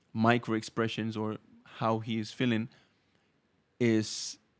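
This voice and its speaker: A man speaks with a Spanish accent. The recording is very clean and the background silent. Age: 30s. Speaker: Arabic teacher. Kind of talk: podcast interview. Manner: halting.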